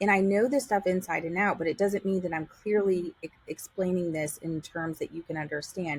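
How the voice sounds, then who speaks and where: In an American accent, a woman talks at a fairly quick pace with hardly any pauses. Her medium-pitched voice is somewhat breathy, with ordinary pitch variation. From New York. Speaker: real estate agent. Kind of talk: casual chat.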